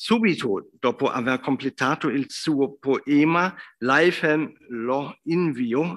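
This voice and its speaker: A man's very slow speech in a German accent, with ordinary pitch variation against a quiet background. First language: German (speaking Italian). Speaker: professor, literary scholar; professor. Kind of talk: lecture. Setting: academy hall with audience. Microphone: video call.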